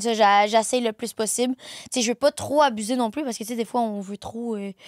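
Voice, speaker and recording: A woman with a Quebec accent and a fairly high pitch talks at a fairly quick pace with fairly even intonation and big swings in loudness, in a dry, close sound with no echo. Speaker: content creator. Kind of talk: casual chat.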